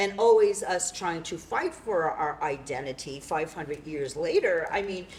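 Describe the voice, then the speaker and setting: A woman with an American accent has an unremarkable speaking voice at medium pitch with ordinary pitch variation. She keeps a moderate pace with hardly any pauses. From New York City. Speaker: playwright and performer. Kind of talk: post-show talkback.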